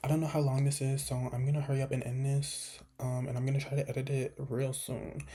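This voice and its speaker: A woman whispers, somewhat breathy. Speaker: small video creator. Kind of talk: casual chat. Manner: whispering.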